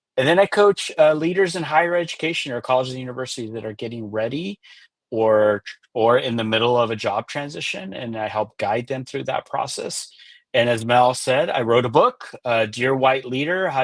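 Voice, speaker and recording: A man at a medium pitch, fairly quick pace and ordinary pitch variation. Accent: Californian. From US West Coast, Los Angeles. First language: Spanish. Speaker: executive coach and author. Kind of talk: interview on a live webinar.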